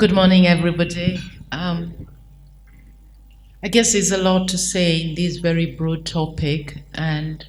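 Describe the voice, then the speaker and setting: In a room with audible echo, a woman speaks slowly-ish at a fairly low pitch in a somewhat breathy, flat monotone, her pace fairly slow. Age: 60s. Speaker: consultant. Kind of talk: panel discussion.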